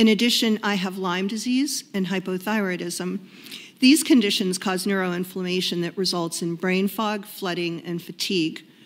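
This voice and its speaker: At a moderate pace, a woman speaks in an ordinary speaking voice of medium pitch with ordinary pitch variation, on a very clean recording with a silent background. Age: 60s. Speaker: food bank advocate testifying at a hearing. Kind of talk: prepared testimony read aloud. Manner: formal.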